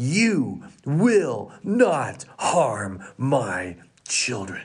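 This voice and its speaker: In a put-on character voice, the speaker sits at a low-to-middle pitch with very wide pitch swings. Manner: commanding, authoritative.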